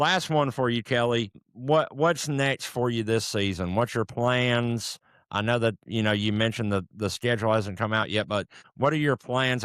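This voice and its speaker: A man with an ordinary speaking voice talks at a moderate pace and medium pitch, with ordinary pitch variation and very even loudness. The sound is dry and close, with no echo. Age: 30s. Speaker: podcast host. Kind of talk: podcast interview.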